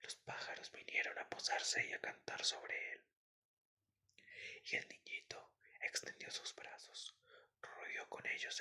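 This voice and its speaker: Whispering in a calm tone, the voice stays quiet. Long pauses come often. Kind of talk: sleep story. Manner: soft, calm.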